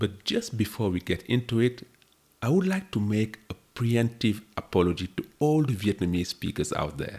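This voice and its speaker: A man speaks at a moderate pace with a fairly low pitch. His intonation is lively and his voice somewhat breathy. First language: French. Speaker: history podcaster. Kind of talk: scripted narration.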